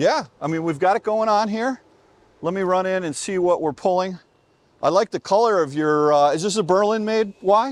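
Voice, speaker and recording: A man with an American accent, a high pitch, ordinary pitch variation, and a moderate pace, in a dry, close sound with no echo against a quiet background. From United States. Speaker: EV reviewer, video creator. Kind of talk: casual vlog chat with strangers. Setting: outdoors at a charging station. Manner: animated.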